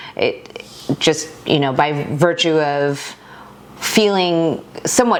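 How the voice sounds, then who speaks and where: Against noticeable background noise, a woman with an American accent speaks at a fairly low pitch. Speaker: YouTube creator. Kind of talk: casual chat.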